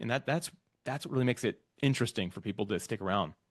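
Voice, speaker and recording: Very fast male speech with vocal fry and very wide pitch swings over a quiet background. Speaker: podcast platform founder. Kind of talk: interview conversation.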